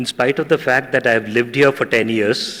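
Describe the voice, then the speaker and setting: A man talks with a Tamil accent. His pitch variation is ordinary. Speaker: journalist and university teacher. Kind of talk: ceremonial speech.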